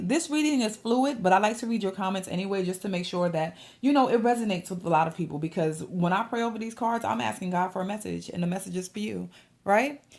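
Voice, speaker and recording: A woman talks at a very fast pace with lively intonation. Her voice is somewhat breathy. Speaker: tarot card reader. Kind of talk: tarot reading monologue.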